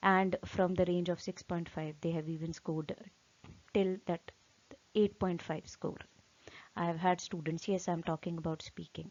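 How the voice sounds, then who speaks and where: With an Indian accent, a woman speaks at a fairly low pitch. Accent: Hindi-accented English. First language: Hindi. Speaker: English exam teacher. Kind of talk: tutorial. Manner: hesitant, many fillers.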